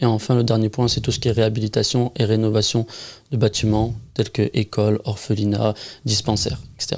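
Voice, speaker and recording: A man with a normal speaking voice, medium pitch and a fairly quick pace, in a very clean recording with a silent background. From southern France. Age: 20s. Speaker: charity founder. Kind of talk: interview.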